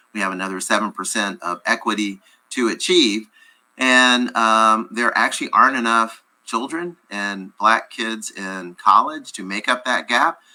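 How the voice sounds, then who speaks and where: Spoken in a normal speaking voice with an American accent, the fairly slow, ordinarily varied delivery sits on a very clean recording with a silent background. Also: man, medium pitch for a man. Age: 60s. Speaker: nonprofit executive director. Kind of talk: radio interview.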